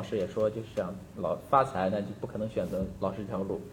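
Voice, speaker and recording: The man's fairly quick speech has a somewhat breathy edge. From China, Shandong. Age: young. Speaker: school psychology teacher. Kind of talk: casual chat.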